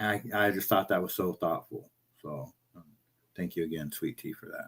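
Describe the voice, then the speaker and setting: His volume rises and falls in big swings. The man talks at a moderate pace. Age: 50s. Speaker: livestream host. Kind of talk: casual chat. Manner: halting.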